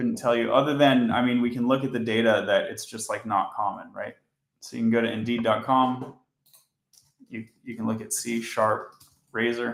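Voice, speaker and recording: A man delivers his words in a monotone, flat intonation at a moderate pace. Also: medium pitch for a man. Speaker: software engineer streaming coding. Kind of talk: live coding stream.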